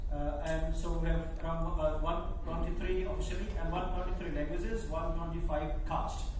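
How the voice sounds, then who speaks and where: There's noticeable background noise and strong room echo around this man's voice. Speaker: keynote speaker. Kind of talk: lecture. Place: hall.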